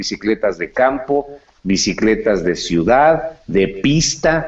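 A man's medium-pitched voice at a very slow pace, with very wide pitch swings. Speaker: insurance agent. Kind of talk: casual chat.

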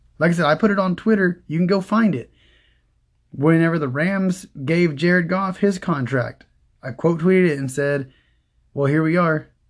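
Someone with an American accent speaks in an animated tone at a moderate pace, with ordinary pitch variation. The background is quiet. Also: man, high pitch for a man. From Oklahoma. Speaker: fantasy football podcast host. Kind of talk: solo podcast analysis.

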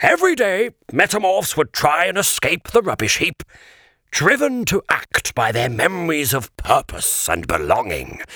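In a dry, close recording with no echo, a man does a put-on character voice at a high pitch and a moderate pace. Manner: solemn, sorrowful.

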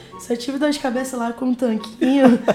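A woman with a fairly high pitch speaks at a fairly quick pace as noticeable background noise continues behind her. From Amazonas, northern Brazil. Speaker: university student. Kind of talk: casual interview.

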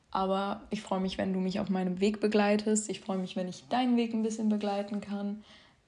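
Speaking at a fairly quick pace, a woman uses a medium pitch, monotone, flat intonation and a dark, mellow tone. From southern Hesse, Germany. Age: young. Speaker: podcast host sharing eating disorder recovery. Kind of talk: casual monologue. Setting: home, her bedroom. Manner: spontaneous, unscripted with many fillers.

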